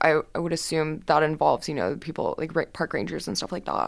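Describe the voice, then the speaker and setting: A very clean recording with a silent background of a woman's very deep, low voice with vocal fry, ordinary pitch variation, and a very fast pace. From Texas, Houston. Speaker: student journalist. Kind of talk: interview. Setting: studio.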